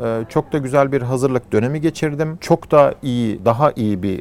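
At a moderate pace, a man uses an ordinary speaking voice of medium pitch with lively intonation. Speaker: company founder, engineer-entrepreneur. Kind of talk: interview.

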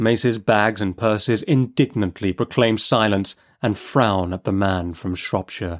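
Recorded very cleanly against a silent background, a man speaks slowly at a fairly low pitch with fairly even intonation.

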